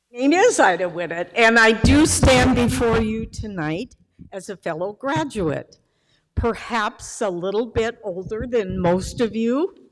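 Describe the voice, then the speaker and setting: Lively intonation runs through a woman's fairly high-pitched voice at a fairly slow pace. Music plays in the background. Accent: American. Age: 80s+. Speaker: student speaker, retired pastor. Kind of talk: commencement speech.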